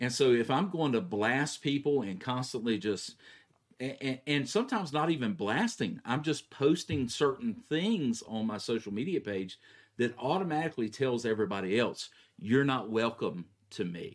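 Speaking at a moderate pace, a man uses lively intonation at a medium pitch. His is an unremarkable speaking voice. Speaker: pastor. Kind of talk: casual theological discussion.

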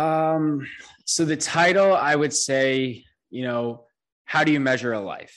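Using a plain, everyday voice, a man with an American accent speaks at a fairly slow pace and fairly high pitch with ordinary pitch variation. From New York. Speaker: brewery co-founder and podcaster. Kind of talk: casual chat.

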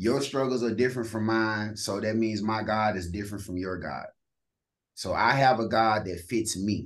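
A man speaks with a Southern US accent at a fairly low pitch. His intonation stays fairly even against a quiet background. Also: moderate pace. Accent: Southern-tinged country. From East St. Louis, Illinois. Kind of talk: casual interview, testimony.

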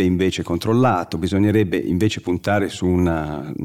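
Delivered at a moderate pace with ordinary pitch variation, the speech comes from a very clean recording with a silent background. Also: man. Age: 50s. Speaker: writer and journalist on mountains. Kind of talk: interview.

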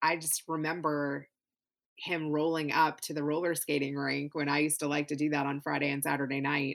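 This voice carries an American accent. It moves along fairly quickly. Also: woman, very deep, low pitch for a woman. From US South, Louisville, Kentucky. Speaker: podcast producer. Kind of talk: interview conversation. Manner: animated.

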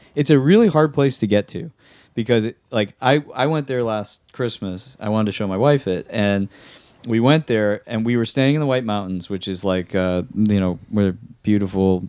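A man with an American accent uses a normal speaking voice at a fairly low pitch, with ordinary pitch variation. He keeps a moderate pace against a quiet background. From New Hampshire, US. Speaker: podcast guest. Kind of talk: casual chat.

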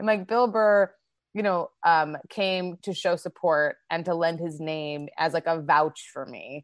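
A fairly low-pitched woman with a Manitoban accent, fairly slow and with ordinary pitch variation, in a dry, close sound with no echo and a quiet background. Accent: Canadian (Manitoba). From Canada, Winnipeg. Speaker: comedian and actor. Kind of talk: casual interview chat. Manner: energetic.

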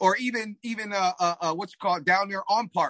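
A man with a high pitch uses a raised, projected voice and a bright, sharp tone, with a dry, close sound and no echo. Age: 40s. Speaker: track coach and masters sprinter. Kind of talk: casual interview chat. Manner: halting, frequent repetitions.

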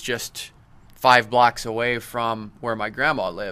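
In a Midwestern American accent, the speaker's monotone, flat intonation comes with a bright, sharp tone. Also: man. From Iowa, Cedar Falls. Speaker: wrestling writer and historian. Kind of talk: casual interview chat. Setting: studio.

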